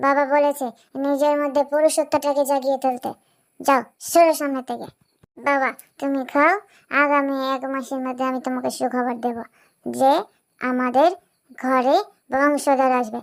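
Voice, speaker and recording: A woman uses a cartoonish character voice, high in pitch with monotone, flat intonation. She speaks at a moderate pace. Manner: harsh, domineering.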